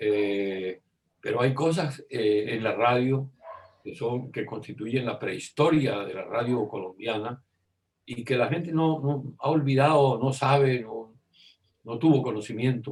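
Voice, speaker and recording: Somewhat breathy, a man speaks at a fairly slow pace in a medium pitch. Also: ordinary pitch variation. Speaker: radio and television broadcaster, journalist, interviewee. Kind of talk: interview answer recalling radio history. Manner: conversational, hesitant with repeated words.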